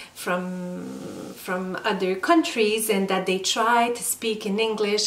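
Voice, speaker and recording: With a non-native accent, a woman of medium pitch speaks at a very slow pace and with lively intonation, amid audible room echo and noticeable background noise. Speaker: lifestyle vlogger. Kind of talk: casual vlog talk. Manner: slow, with hesitations.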